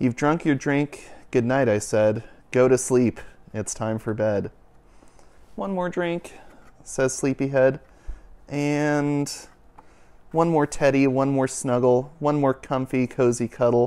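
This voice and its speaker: A man speaks in a soothing, calm, sing-song tone with ordinary pitch variation. His pace is very slow, with long, frequent pauses. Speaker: youth and families minister reading a picture book. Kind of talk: bedtime story read aloud to children, rhythmic rhyming verse. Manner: warm, gentle, sing-song cadence; soothing, slow and calm. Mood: gentle, soothing. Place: home room. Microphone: lapel.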